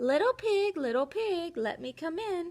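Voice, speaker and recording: In a put-on character voice, a woman speaks squeaky and extremely high, her pitch swinging very widely at a moderate pace. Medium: read story. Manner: scheming, sly.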